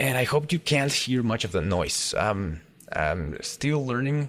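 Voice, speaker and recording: A man talks in a Mexican accent. His pace is moderate and his pitch medium. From Mexico. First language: Spanish. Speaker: gaming YouTuber. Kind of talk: casual let's play commentary. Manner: halting, many fillers and repeats.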